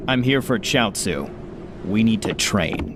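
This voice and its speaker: Amid loud background noise, a man puts on a character voice with a deadpan tone, speaking at a fairly slow pace and medium pitch. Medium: voice reel. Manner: deadpan, sarcastic.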